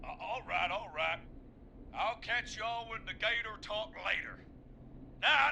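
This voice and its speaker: A put-on, drawling character voice from a man, extremely high in pitch, at a moderate pace over clear background noise. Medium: video game. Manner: drawling, says man a lot.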